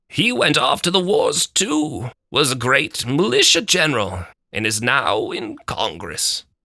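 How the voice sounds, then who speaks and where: Putting on a character voice, a man speaks with a fairly high pitch at a fairly slow pace with hardly any pauses. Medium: read story.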